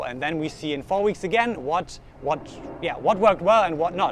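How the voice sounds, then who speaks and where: A man with a slight German accent and ordinary pitch variation. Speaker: vlogger. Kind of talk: vlog monologue. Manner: halting.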